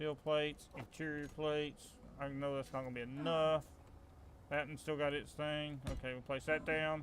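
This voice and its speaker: With a strong Southern US accent, a man speaks at a moderate pace in a fairly high voice, his intonation monotone and flat. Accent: Southern US, country accent, strong. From US South. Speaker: gaming streamer. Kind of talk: live gameplay commentary. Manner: casual, halting with fillers.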